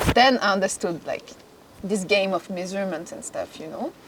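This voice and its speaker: A woman in a French accent, medium in pitch, at a fairly quick pace over noticeable background noise. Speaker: fashion model. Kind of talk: casual interview chat.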